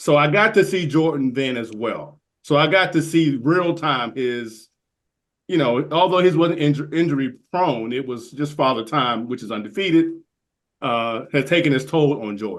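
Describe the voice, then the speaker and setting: A normal speaking voice from a man, moderate in pace, with lively intonation. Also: fairly high pitch for a man. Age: 60s. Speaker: golf podcaster. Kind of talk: casual chat. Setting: podcast recording.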